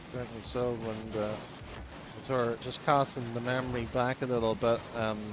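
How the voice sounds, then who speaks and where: In an Irish accent, a man speaks at a moderate pace with a medium pitch and monotone, flat intonation. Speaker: esports commentator. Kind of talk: live commentary.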